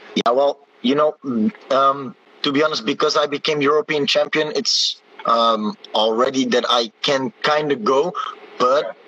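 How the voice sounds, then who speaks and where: Music in the background behind a man's fairly high voice, moderate in pace, with ordinary pitch variation. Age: 20s. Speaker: taekwondo athlete. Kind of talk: interview. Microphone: poor connection.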